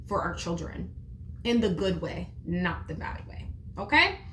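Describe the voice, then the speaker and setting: A woman talks loudly, with audible room echo and noticeable background noise behind her. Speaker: teacher and parenting video creator. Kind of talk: casual tutorial monologue. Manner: expressive, conversational.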